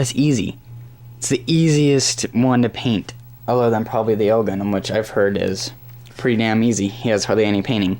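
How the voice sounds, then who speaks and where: A man with a plain, everyday voice and a medium pitch. He speaks at a fairly quick pace. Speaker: hobby model reviewer. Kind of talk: product review. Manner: casual.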